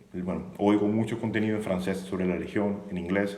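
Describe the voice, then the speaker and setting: The intonation is fairly even, and the room's echo can be heard. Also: man. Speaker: YouTuber on the French Foreign Legion, former legionnaire. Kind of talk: live stream monologue. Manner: fast.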